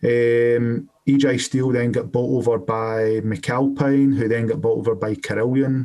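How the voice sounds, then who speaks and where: Speaking fairly slowly in a Scottish accent, a man with a dark, mellow tone and medium pitch keeps his loudness very even, his intonation fairly even, and hardly pauses at all. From Scotland. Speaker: electrician and compliance business owner. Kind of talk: podcast interview. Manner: hesitant, many fillers.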